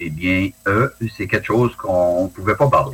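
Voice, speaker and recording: This man speaks with ordinary pitch variation. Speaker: retired forest ranger and dog handler, UFO witness. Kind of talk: interview testimony. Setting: video call.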